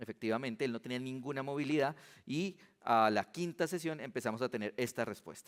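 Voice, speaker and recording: A man at a fairly quick pace with ordinary pitch variation, in a very clean recording with a silent background. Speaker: physician giving a conference talk. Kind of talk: conference lecture. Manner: fast.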